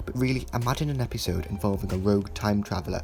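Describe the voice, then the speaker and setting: With music in the background, a man with a fairly low pitch talks at a very fast pace. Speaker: TV episode reviewer. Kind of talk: critical video essay narration. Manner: stammers at times.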